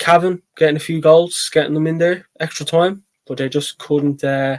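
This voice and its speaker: A man in a Dublin accent at a moderate pace, in a dry, close sound with no echo. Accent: Dublin Irish. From Ireland, Dublin. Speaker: sports channel host, GAA pundit. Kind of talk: solo sports preview talk. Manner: hesitant, many fillers and repeats.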